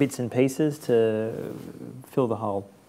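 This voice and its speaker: A man is speaking. He has an Australian accent. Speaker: journalist and author. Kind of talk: interview conversation before audience.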